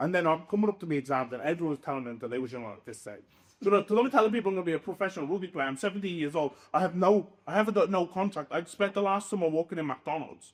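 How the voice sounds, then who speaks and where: In a Dublin accent, a man speaks very fast at a high pitch, with an animated tone and lively intonation. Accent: Irish, Dublin. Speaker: professional rugby league player. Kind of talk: podcast interview.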